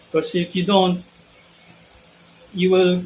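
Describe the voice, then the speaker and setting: A man talks with a Filipino accent at a high pitch. Background noise is noticeable. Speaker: spiritual teacher. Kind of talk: spiritual talk. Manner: hesitant, many fillers.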